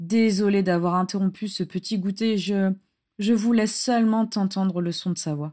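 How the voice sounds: The clip has a natural reading voice over a quiet background.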